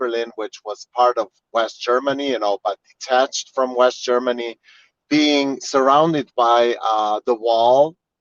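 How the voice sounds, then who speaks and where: Speaking at a fairly slow pace with a Slovene accent, the man keeps a monotone, flat intonation. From Slovenia. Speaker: tour guide. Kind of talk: virtual guided tour. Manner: halting, many fillers.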